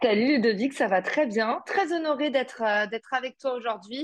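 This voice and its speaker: A woman's put-on character voice, high-pitched and hoarse, with lively intonation, moderate pace and very even loudness, in a dry, close sound with no echo. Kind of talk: casual podcast interview.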